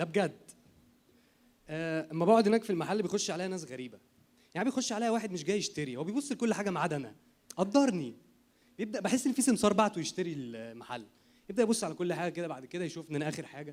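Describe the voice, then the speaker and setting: A man talks very fast at a high pitch, his voice swinging very widely up and down. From Egypt. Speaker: comedian. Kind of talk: stand-up.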